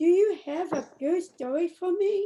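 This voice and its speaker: A woman puts on a character voice at an extremely high pitch. She keeps a moderate pace with ordinary pitch variation. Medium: read story. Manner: warm and friendly.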